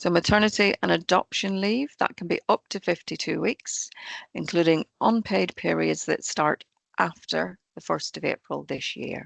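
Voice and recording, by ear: A woman speaks at a moderate pace with a fairly low, croaky voice and vocal fry. Her pitch varies in an ordinary way, and the sound is dry and close with no echo.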